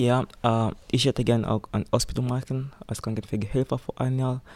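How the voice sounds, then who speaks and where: A man talks at a moderate pace with a medium pitch and fairly even intonation. The recording is very clean, with a silent background. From Tanzania. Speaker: volunteer nursing assistant. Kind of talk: interview. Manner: halting.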